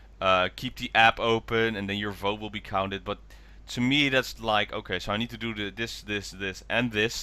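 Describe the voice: At a moderate pace, a man speaks in a fairly low voice with a bright, sharp tone and fairly even intonation.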